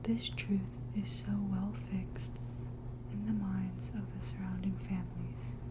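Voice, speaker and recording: Someone soft-spoken talks at a very slow pace against noticeable background noise. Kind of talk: soft-spoken ASMR book reading.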